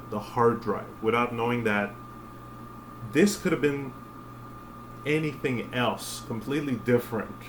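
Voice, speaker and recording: A man speaks at a medium pitch with fairly even intonation, over noticeable background noise and audible room echo. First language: French. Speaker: spiritual vlogger. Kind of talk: casual monologue. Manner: halting, many fillers.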